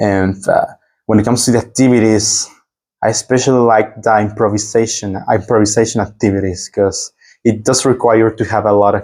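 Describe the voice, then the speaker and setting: A man with a Spanish accent, fairly low pitch, monotone, flat intonation and a moderate pace. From Mexico. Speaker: exchange student. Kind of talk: interview. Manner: halting.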